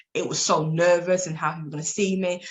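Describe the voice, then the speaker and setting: Somewhat breathy speech at a fairly quick pace. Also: woman. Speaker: life coach and abuse survivor speaker. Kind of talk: interview testimony. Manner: animated.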